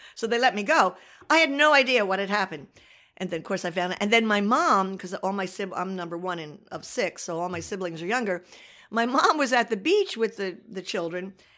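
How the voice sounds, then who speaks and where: In a New Jersey accent, a woman speaks fairly quickly at a medium pitch. Her tone is bright and sharp, with lively intonation. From Asbury Park, New Jersey. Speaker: local newspaper editor. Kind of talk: interview.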